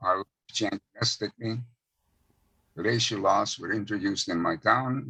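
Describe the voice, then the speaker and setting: A man with a bright, sharp tone and vocal fry talks at a moderate pace and medium pitch. His intonation is lively, and the sound is dry and close with no echo. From Czechoslovakia, Hungarian-speaking area. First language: Hungarian. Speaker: Holocaust survivor. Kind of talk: testimony.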